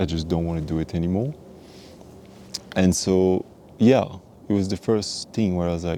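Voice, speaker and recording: With a French accent, a man speaks in a very deep, low voice. His pace is moderate, his pitch varies normally, and he takes long, frequent pauses. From French Guiana and France. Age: 20s. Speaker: vlogger. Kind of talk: personal storytelling. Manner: halting.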